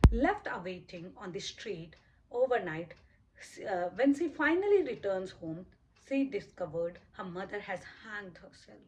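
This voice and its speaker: Her intonation is lively and her pace fairly slow. The woman's pitch is medium and her voice somewhat breathy. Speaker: book reviewer. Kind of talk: reading from notes, book review. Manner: stammers when nervous; halting, with repeats and fillers.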